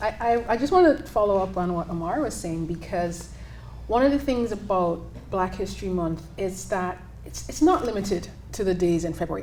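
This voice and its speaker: At a fairly quick pace, a woman speaks over noticeable background noise. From Jamaica. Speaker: college business instructor. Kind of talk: panel discussion.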